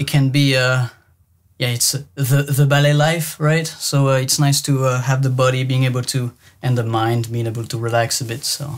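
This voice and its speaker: Somewhat breathy and monotone, a man talks at a moderate pace and medium pitch on a very clean recording with a silent background. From French-speaking Switzerland. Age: 30s. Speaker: ballet dancer. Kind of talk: interview. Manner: halting.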